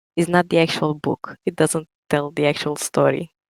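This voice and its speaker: Soft-spoken and at a moderate pace, a woman talks with a strong Romanian accent in a dry, close sound with no echo. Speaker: writer and TikTok creator. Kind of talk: interview.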